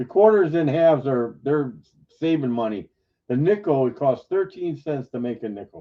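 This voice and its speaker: Here is a man with an unremarkable speaking voice and fairly high pitch. He talks at a moderate pace with lively intonation. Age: 60s. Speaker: coin collector on live stream panel. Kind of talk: casual chat.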